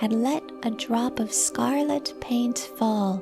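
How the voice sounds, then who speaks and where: The speech is very slow. Background music can be heard. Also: woman. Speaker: meditation guide. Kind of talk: guided meditation. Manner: soothing, slow.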